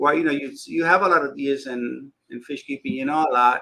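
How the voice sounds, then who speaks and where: In a Spanish accent, a man speaks at a fairly quick pace with a bright, sharp tone and ordinary pitch variation. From Dominican Republic. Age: 60s. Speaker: fishkeeping YouTuber. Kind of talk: casual chat.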